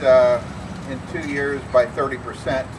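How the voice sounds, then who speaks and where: A man's voice over noticeable background noise. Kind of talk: rally speech. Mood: critical, measured. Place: street. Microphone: camera far.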